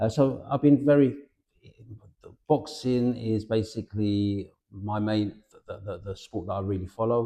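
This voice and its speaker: A man's dark, mellow voice at a medium pitch and a fairly slow pace. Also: ordinary pitch variation. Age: 60s. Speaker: boxing promoter. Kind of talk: interview. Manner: halting, with frequent restarts.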